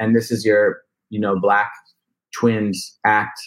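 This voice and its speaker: This man has a fairly low voice and an American accent. He talks at a very slow pace with monotone, flat intonation. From New Jersey, US. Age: 30s. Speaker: rapper. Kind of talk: casual interview chat.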